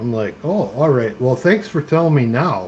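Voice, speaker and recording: At a moderate pace, a man with an American accent speaks in a relaxed, dark, mellow tone, somewhat breathy, with very wide pitch swings. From Minnesota. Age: 50s. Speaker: live streamer. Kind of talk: casual chat. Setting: live stream. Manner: relaxed, chatty.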